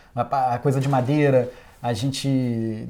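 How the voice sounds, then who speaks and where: In a very clean recording with a silent background, a man with a dark, mellow tone speaks at a fairly slow pace with fairly even intonation. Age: 40s. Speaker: sound engineer. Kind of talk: interview monologue. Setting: recording studio. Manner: casual, hesitant with fillers.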